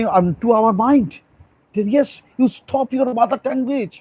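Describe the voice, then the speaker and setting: Speaking at a very slow pace in a Bengali accent, a man with an extremely high pitch and a dark, mellow tone is recorded with a dry, close sound and no echo. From India, Bengal. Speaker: school teacher. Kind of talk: lecture. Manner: halting.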